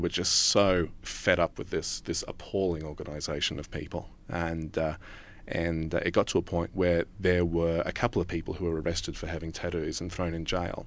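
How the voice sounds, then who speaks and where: Over a quiet background, a man with an Australian accent speaks at a moderate pace. His pitch is very deep and low. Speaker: news reporter. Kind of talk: interview conversation.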